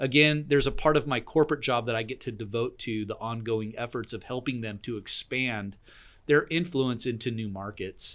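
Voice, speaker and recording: With a plain, everyday voice, a man talks at a moderate pace, his medium pitch showing ordinary variation. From southern Oregon, US. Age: 40s. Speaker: coffee business owner. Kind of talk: casual chat. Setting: studio.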